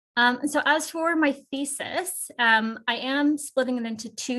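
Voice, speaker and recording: A woman uses a raised, projected voice at a high pitch. She goes at a fairly slow pace with ordinary pitch variation. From Canada. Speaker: PhD researcher presenting at a conference. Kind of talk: academic conference presentation. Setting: video call.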